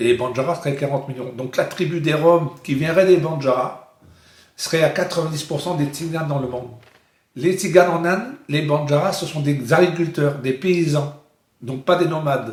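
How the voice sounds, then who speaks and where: This man's voice sits fairly high in pitch, with ordinary pitch variation. He keeps a moderate pace. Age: 60s. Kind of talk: interview. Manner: halting.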